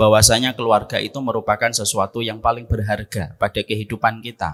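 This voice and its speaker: On a very clean recording with a silent background, a man speaks fairly quickly at a fairly low pitch, the sound dry and close with no echo. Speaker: Islamic preacher. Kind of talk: religious lecture.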